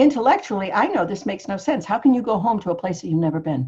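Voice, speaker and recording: An animated, somewhat breathy female voice with very wide pitch swings. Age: 70s. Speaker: podcast host. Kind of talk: monologue to camera.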